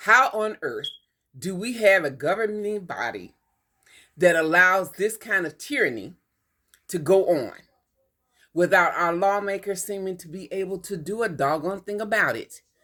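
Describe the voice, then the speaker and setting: A woman with a medium pitch and an American accent speaks at a moderate pace in a bright, sharp, animated tone, with big swings in loudness. The recording is very clean, with a silent background. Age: 70s. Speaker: vlogger. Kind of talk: opinion monologue.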